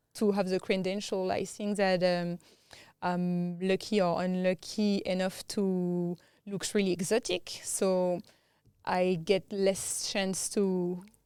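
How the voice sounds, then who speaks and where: Very slowly and in a monotone, flat delivery, a woman with a strong French accent speaks at a medium pitch in a dark, mellow tone, captured in a very clean recording with a silent background. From France. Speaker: tech entrepreneur. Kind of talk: interview. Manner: halting.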